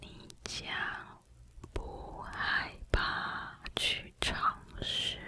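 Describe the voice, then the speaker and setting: Whispering at a very slow pace with long, frequent pauses, amid noticeable background noise. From Taiwan. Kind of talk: ASMR affirmation whisper to help sleep. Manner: whispered, soft.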